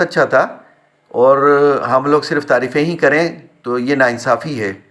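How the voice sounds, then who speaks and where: Fairly even intonation in a man's fairly high-pitched voice. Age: 60s. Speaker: retired community member, vlogger. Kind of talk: personal vlog monologue. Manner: hesitant with filler sounds.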